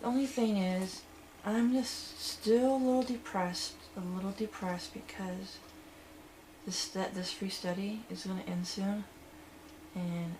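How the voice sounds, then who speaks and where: A medium-pitched woman at a fairly slow pace, ordinary pitch variation, audible room echo and noticeable background noise. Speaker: vlogger in social anxiety therapy study. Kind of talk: personal video diary. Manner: louder than before; halting, many fillers.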